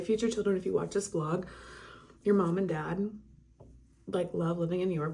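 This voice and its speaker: A woman's medium-pitched voice keeps fairly even intonation amid noticeable background noise. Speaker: vlogger and photographer. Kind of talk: casual vlog talk to camera.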